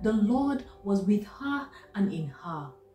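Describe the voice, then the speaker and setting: A woman speaks at a very slow pace with very wide pitch swings, with faint music in the background and audible room echo. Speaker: doctor. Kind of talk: spoken word poetry reading. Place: home room. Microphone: phone near.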